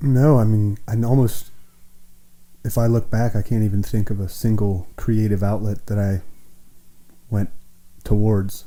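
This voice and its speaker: A man with an American accent, fairly low in pitch, in a dark, mellow tone, at a fairly slow pace with fairly even intonation, long, frequent pauses and audible room echo. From Wilmington, Ohio. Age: 30s. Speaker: singer-songwriter. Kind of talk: casual interview.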